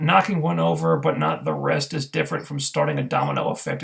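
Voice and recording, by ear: A man with a slightly husky edge, vocal fry and a fairly bright tone talks at a moderate pace with ordinary pitch variation.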